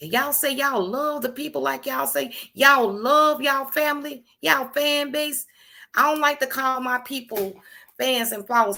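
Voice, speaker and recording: Loud and animated, the voice has a bright, sharp tone, lively intonation and a fairly quick pace on a very clean recording with a silent background. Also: woman. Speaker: livestream host. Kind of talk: casual live stream talk. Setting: live stream.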